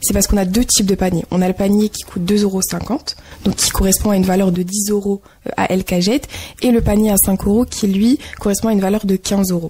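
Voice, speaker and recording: With noticeable background noise, a woman talks at a moderate pace and medium pitch in fairly even intonation. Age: 20s. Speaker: association volunteer. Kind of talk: radio interview.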